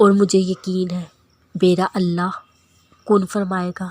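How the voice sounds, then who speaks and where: A woman talks in a monotone, flat intonation. The sound is dry and close, with no echo. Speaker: voice-over narrator. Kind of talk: Islamic quotes narration.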